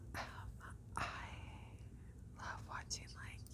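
Loud background noise fills the clip. A woman talks through it. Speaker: ASMR creator. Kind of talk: ASMR whispering to camera. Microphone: lapel.

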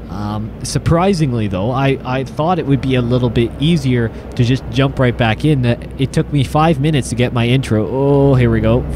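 At a moderate pace, a man talks while noticeable noise sits in the background. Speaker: gaming video creator. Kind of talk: gameplay commentary. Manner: casual, halting with fillers.

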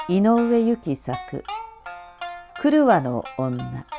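Very wide pitch swings run through the speech, with music in the background. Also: woman. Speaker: narrator. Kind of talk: audiobook reading.

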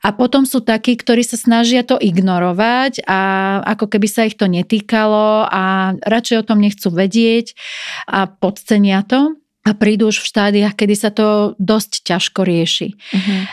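A woman with a normal speaking voice talks at a moderate pace with a fairly high pitch and fairly even intonation, on a very clean recording with a silent background and a dry, close sound with no echo. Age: 40s. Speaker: dermatologist. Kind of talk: interview. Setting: studio.

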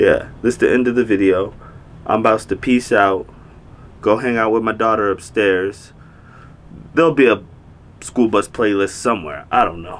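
A man speaks at a moderate pace with ordinary pitch variation, stopping often for long pauses. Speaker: vlogger. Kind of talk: casual vlog chat. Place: home room.

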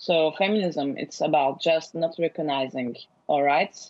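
Against a quiet background, a woman in an unremarkable speaking voice talks at a fairly slow pace and fairly low pitch with ordinary pitch variation. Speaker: guest. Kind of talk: interview answer. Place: home room. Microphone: earbuds.

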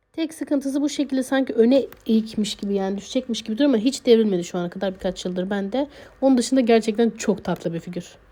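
A woman speaks very fast at a fairly high pitch in a dark, mellow, somewhat breathy tone. Her pitch varies in an ordinary way, and the recording is very clean with a silent background. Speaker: figure collector YouTuber. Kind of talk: product showcase. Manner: hesitant fillers.

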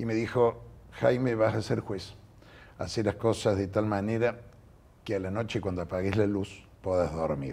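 A man speaks at a moderate pace with a fairly low, dark and mellow voice. His pitch varies ordinarily, and he leaves long, frequent pauses. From Argentina. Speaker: judge; interviewee. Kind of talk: interview. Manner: halting. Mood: calm, reflective. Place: studio. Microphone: lapel.

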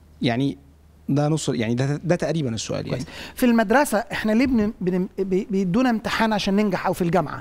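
A man talks in a high pitch at a fairly quick pace. His pitch swings very widely. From Egypt. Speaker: pastor and bible teacher; pastor, bible teacher. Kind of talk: bible teaching with studio audience. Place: studio.

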